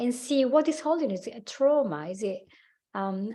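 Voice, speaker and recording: A woman in an Italian accent at a fairly quick pace, with very wide pitch swings. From Italy. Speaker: life coach and hypnotherapist. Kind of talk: podcast interview. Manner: halting.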